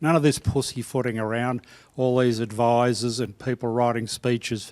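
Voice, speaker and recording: A man with an Australian accent at a moderate pace, on a very clean recording with a silent background. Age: 70s. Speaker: veteran court practitioner. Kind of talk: panel discussion. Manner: emphatic.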